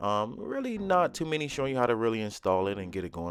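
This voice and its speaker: A man's intonation is lively as he talks at a very fast pace. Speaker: DIY product reviewer. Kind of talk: tutorial. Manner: casual, many fillers.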